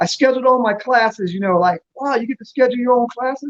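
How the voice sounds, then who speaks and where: This man talks very fast in an American accent, with an animated tone and extremely high pitch. His pitch varies in an ordinary way, and the sound is dry and close with no echo. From US South, Virginia (Newport News). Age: 60s. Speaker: businessman. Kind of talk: casual chat.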